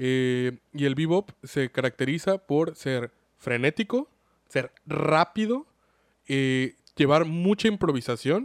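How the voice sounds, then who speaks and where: In a Mexican accent, the speaker goes at a very slow pace with ordinary pitch variation, recorded with a dry, close sound and no echo. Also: man. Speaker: anime podcast host. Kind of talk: casual chat.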